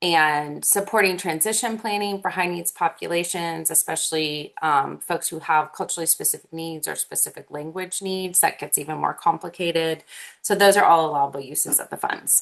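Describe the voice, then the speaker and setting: Putting on a raspy character voice, a woman speaks at a fairly quick pace in a fairly low pitch, her loudness swinging widely. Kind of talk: professional, presentation style. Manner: fast talking.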